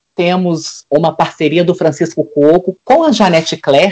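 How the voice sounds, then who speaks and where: A man's high voice, with normal pitch movement, unfolds at a fairly unhurried rate. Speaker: interviewer. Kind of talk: interview questions. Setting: video call.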